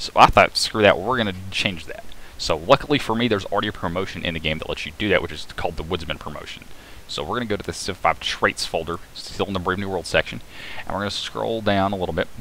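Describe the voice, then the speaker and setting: Mumbling at a very fast pace, a man with a fairly low pitch and ordinary pitch variation swings widely in loudness over noticeable background noise. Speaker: game modding tutorial maker. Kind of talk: screen-recorded tutorial narration. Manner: mumbling, a bit hard to understand; casual, with filler hesitations.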